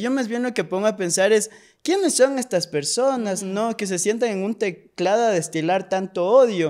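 Against a quiet background, a man with a high pitch talks at a moderate pace with ordinary pitch variation. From Ecuador, Pasaje (El Oro coast); Ecuador. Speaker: actor and screenwriter; actor. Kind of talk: casual interview chat. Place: studio. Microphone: studio mic.

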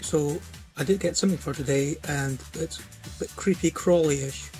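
Faint music plays in the background as a man with a Scottish accent speaks, the sound dry with no echo. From Scotland. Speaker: vlogger. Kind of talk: casual vlog talk to camera. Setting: home recording, poor sound. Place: home room. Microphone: phone near.

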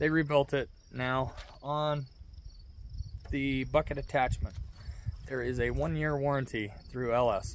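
A man at a moderate pace with ordinary pitch variation, dry with no echo, over light background noise. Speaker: tractor owner. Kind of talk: casual vlog chat. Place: farm machine. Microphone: phone near.

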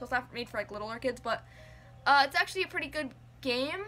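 A woman speaks in a raised, projected voice. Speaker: game collector vlogger. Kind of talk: casual vlog chat. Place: home room. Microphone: phone near.

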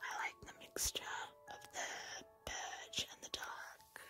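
Someone whispers at a fairly slow pace. Music plays in the background. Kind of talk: ASMR gaming commentary. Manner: whispered.

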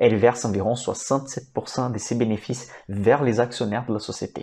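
A man speaks with fairly even intonation. His tone is dark and mellow. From Brazil. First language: Portuguese (speaking French). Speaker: financial analyst and investing YouTuber; investment educator. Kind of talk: educational stock analysis presentation; explanatory lecture on stock analysis. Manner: hesitant with fillers. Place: home room. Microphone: lapel.

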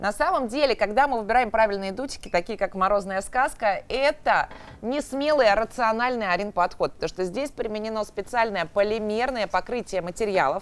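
At a fairly quick pace with few pauses, a woman speaks at medium pitch with ordinary pitch variation.

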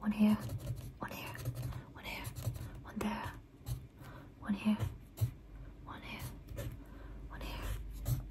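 A woman is whispering. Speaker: ASMR creator. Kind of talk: soft ASMR roleplay talk. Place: home room. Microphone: studio mic.

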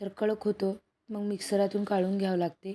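Here a woman speaks at a medium pitch with a dark, mellow tone. Her intonation is monotone and flat. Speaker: cooking vlogger. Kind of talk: cooking tutorial.

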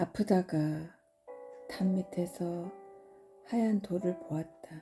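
A woman speaks very slowly at a medium pitch with fairly even intonation. Music plays in the background. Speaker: poetry reader. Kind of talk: poetry reading.

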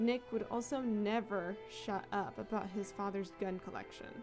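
A woman's voice with music in the background. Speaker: story narrator. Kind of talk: story reading.

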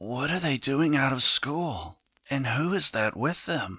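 A man uses a raspy, put-on character voice at a medium pitch. He speaks at a fairly slow pace on a very clean recording with a silent background. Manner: astonished.

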